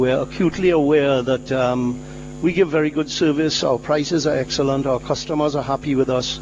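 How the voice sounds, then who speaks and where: Over noticeable background noise, a man talks fairly quickly at a fairly high pitch, keeping his loudness very even and his intonation fairly even. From Trinidad. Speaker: company founder. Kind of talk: interview. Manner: halting.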